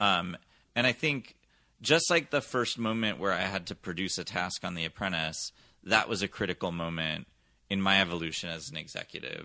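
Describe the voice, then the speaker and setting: A man speaks with an American accent in a very deep, low voice. His tone is bright and sharp. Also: ordinary pitch variation, moderate pace, very clean recording, silent background. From US West Coast, San Francisco Bay Area. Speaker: television executive. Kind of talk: interview.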